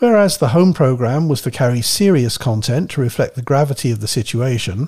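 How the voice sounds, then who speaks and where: Here a man speaks at a medium pitch with a dark, mellow, somewhat breathy tone, at a moderate pace with ordinary pitch variation. The recording is very clean, with a silent background. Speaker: radio history researcher and co-presenter. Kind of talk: reading aloud.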